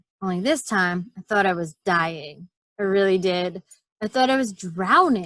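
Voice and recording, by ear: Read aloud in a natural voice, the speech has ordinary pitch variation against a quiet background.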